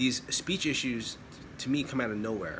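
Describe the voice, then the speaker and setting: A man's speech comes with noticeable background noise in the clip. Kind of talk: casual talk to camera. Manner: mostly fluent, subtle stuttering.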